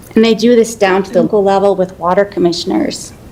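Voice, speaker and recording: Noticeable background noise sits under this woman's voice. She speaks at a medium pitch and a fairly quick pace. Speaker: city water resources manager. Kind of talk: presentation to city council.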